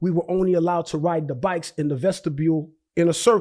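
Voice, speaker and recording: Talking very fast with fairly even intonation, a man with a New York accent uses a high pitch. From Brooklyn, New York (Haitian family). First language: Haitian Creole. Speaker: real estate investor. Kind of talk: interview. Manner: halting, many repetitions.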